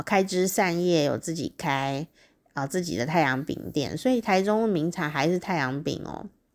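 An animated, fairly slow delivery with a Taiwanese accent and ordinary pitch variation. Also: woman. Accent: Taiwanese Mandarin. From Taiwan, Taichung. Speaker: podcast host. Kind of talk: solo diary-style monologue. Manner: animated, frequent laughter and fillers.

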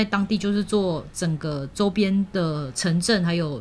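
This is a normal speaking voice. The intonation rises and falls in a lively way. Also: woman. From Malaysia. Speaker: university language teacher and radio host. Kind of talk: casual interview.

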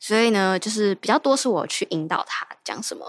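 A woman's medium-pitched voice at a moderate pace, in a dry, close sound with no echo. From Taiwan, Kaohsiung. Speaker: dating show contestant. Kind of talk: casual chat. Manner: lively; cheerful, sweet-sounding.

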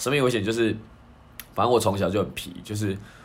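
Rattling along very fast, the man's fairly low voice shows ordinary movement in pitch. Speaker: podcast co-host. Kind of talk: casual chat.

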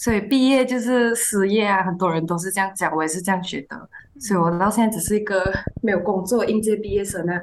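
Against noticeable background noise, a woman speaks at a very fast pace. Her pitch is medium, with ordinary variation. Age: 20s. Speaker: fresh graduate and intern. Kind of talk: casual chat.

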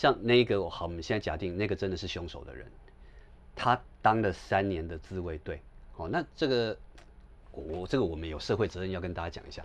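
In a Taiwanese accent, a man with a very deep, low pitch speaks at a fairly quick pace with lively intonation, big swings in loudness and long, frequent pauses. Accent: Taiwanese Mandarin. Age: 40s. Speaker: scholar and author on Japan. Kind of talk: casual conversation.

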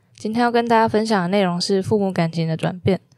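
Talking very fast, a woman keeps to a medium pitch with ordinary pitch variation. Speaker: student podcast host. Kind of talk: scripted narration.

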